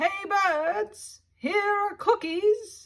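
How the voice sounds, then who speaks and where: Shouting in a put-on character voice, a woman sounds squeaky, raised and projected, at an extremely high pitch. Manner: loud shouting.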